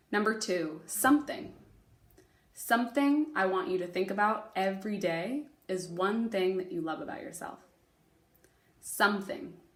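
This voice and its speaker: A woman's somewhat breathy, medium-pitched voice, moderate in pace, with lively intonation and long, frequent pauses. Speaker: elementary school teacher. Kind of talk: remote lesson, spelling test dictation. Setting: recorded video for students at home. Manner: clear enunciation of spelling words; fairly brisk pace.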